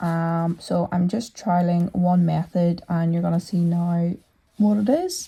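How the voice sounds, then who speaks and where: Speaking at a fairly slow pace in a Northern Irish accent, a woman has a medium-pitched, somewhat breathy voice with a dark, mellow tone, captured in a very clean recording with a silent background. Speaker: hobby metal fabricator. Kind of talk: workshop voiceover narration. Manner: casual, conversational.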